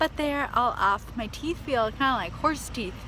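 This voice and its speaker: Noticeable background noise surrounds a woman with a high pitch. She keeps a moderate pace and ordinary pitch variation. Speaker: fitness vlogger and personal trainer. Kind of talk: casual vlog. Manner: chatty, filler-heavy.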